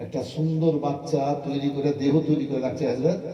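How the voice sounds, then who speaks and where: This man sounds animated, his pitch at a medium level. There is noticeable background noise. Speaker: Islamic preacher giving a public sermon. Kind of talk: public religious sermon at a gathering. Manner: emotional, animated, mixing humor and pathos.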